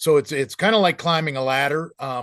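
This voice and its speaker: Ordinary pitch variation and a moderate pace from a man. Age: 60s. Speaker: bird conservation program manager. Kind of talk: volunteer training presentation. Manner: halting, many fillers and repetitions.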